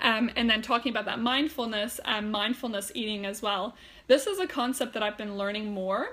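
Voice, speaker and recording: The tone is bright and sharp, with a German accent. The pace is fairly quick, and the pitch varies in an ordinary way. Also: woman, fairly high pitch for a woman. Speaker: health and wellness coach. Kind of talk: live stream talk. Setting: Facebook live video. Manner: hesitant, many fillers; casual, chatty.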